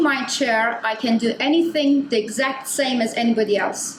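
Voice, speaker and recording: A loud, high-pitched woman's voice with ordinary pitch variation, amid noticeable background noise and audible room echo. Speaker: design researcher. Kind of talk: conference talk.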